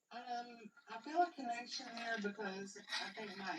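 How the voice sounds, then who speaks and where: This is a woman speaking with an Appalachian accent. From West Virginia, Appalachia. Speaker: guest. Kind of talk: casual chat. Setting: live stream with people in the room.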